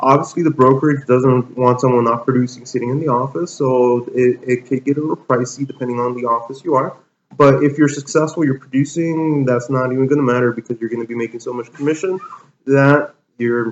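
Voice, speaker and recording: A man talks fairly quickly in a normal speaking voice. His pitch is medium and his intonation fairly even. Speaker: real estate agent. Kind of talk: interview answer.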